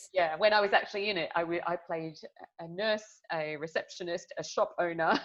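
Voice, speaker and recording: A fairly low-pitched woman with an Australian accent at a fairly quick pace, fairly even intonation and big swings in loudness. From Melbourne, Australia. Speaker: public speaking coach. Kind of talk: podcast interview.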